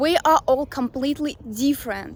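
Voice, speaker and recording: A woman talks with a Russian accent. Her pace is fairly slow and her pitch variation ordinary. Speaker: language coach. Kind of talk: talking-head advice video. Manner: casual with fillers.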